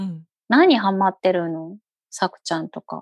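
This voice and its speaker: In a dry, close sound with no echo and a quiet background, a woman speaks at a moderate pace. Her pitch is medium, with ordinary variation. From Fukuoka, Japan (eastern area near Oita). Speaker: podcast host, mother. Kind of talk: casual chat.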